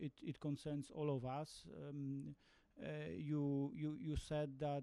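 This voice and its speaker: A man with a Polish accent, a dark, mellow tone and fairly high pitch, at a very slow pace. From Poland. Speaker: ambassador asking audience question. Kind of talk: audience question. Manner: halting, repeats words.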